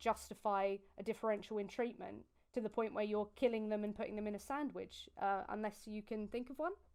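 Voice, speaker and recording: Speaking very fast, a woman with a British accent has a fairly high, dark, mellow voice and fairly even intonation. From UK. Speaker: vegan activist. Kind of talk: debate on video call.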